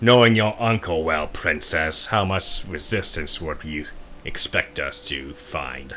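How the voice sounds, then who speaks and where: Over clear background noise, a man performs a put-on character voice, very deep and low, fairly slow, with lively intonation. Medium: actual play. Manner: measured, questioning.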